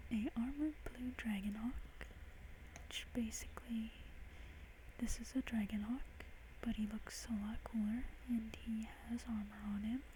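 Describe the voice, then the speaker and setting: A soft-spoken man whispering at a fairly slow pace, with long, frequent pauses and noticeable background noise. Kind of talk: ASMR soft speaking to camera about a game. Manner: soft-spoken, whispery.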